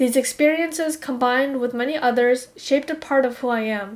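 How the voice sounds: Pitched high, a woman speaks with ordinary pitch variation. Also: moderate pace.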